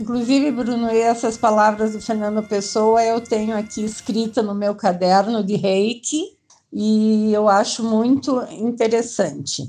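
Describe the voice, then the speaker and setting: Against a quiet background, a woman with a fairly high pitch and a dark, mellow tone speaks at a fairly slow pace, somewhat breathy and with hardly any pauses. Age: 60s. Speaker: reiki practitioner with Parkinson's. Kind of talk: casual group chat.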